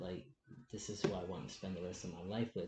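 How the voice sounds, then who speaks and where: His voice has a dark, mellow tone. The man also sounds somewhat breathy. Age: 20s. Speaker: interview guest, transgender man. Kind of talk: personal testimony. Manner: halting.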